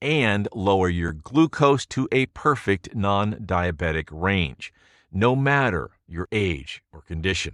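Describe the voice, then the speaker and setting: Over a quiet background, a man with a fairly low voice swings his pitch very widely. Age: 60s. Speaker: sales pitch narrator. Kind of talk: sales pitch. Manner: dramatic storytelling.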